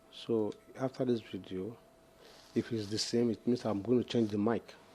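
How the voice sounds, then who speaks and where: A soft-spoken man talks at a moderate pace with a dark, mellow tone. His medium pitch stays monotone and flat. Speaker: phone repair technician. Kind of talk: tutorial. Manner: halting.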